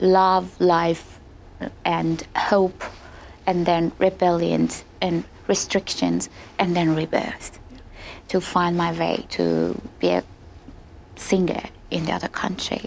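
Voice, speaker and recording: Very slow speech in an Iranian accent comes with long, frequent pauses. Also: woman. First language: Farsi. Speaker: opera singer. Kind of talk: interview. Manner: hesitant, many fillers.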